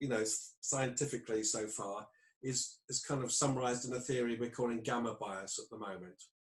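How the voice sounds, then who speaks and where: With a British accent, a man speaks at a fairly quick pace in a medium pitch, sounding somewhat breathy, with ordinary pitch variation. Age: 60s. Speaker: clinical psychologist. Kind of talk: interview.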